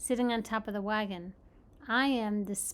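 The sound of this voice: Heard here is an unforced reading voice.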